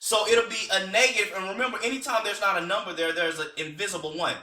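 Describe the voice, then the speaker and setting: In a raised, projected voice, a man speaks at a very fast pace and a high pitch, with ordinary pitch variation and audible room echo. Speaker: teacher. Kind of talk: tutorial. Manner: casual.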